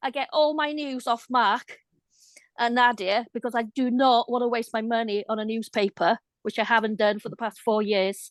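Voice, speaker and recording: A woman in a Welsh accent at a moderate pace, with fairly even intonation, a quiet background and a dry, close sound with no echo. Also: fairly high pitch for a woman. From Wales. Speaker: viewer. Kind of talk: casual chat.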